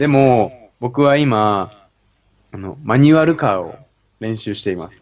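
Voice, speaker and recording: A man's medium-pitched voice at a fairly slow pace, with lively intonation and big swings in loudness. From Japan. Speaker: university student. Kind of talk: casual conversation. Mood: relaxed, friendly. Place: home room. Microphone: studio mic.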